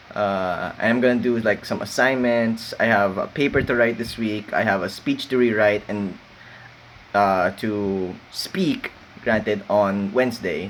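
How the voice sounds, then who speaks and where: Noticeable background noise fills the recording. Over it, a man speaks fairly slowly. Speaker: university student vlogger. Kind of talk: late-night solo rant. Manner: mumbling; halting.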